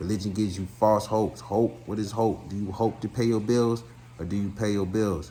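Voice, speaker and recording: A man's fairly low, somewhat breathy voice with a dark, mellow tone, ordinary pitch variation and audible room echo. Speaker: spiritual commentator. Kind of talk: monologue lecture. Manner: fast; animated.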